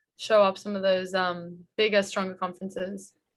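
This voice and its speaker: Fairly quick and monotone with flat intonation, a woman speaks at a medium pitch. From Australia, Sydney. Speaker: college basketball player. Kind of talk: interview. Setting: video call.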